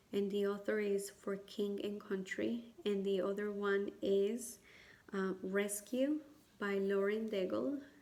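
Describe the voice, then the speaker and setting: Over audible room echo, a woman with a medium pitch speaks at a very slow pace. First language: not English. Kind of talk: personal testimony and advice to camera. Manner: hesitant, many fillers.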